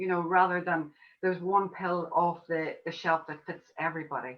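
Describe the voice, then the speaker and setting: With an Irish accent, a woman speaks at a medium pitch. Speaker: homeopath. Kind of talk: online summit interview.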